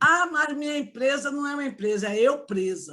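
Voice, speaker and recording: A woman's animated tone at a fairly slow pace, with very wide pitch swings. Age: 60s. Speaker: entrepreneur and family constellation facilitator. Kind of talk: online talk to an audience.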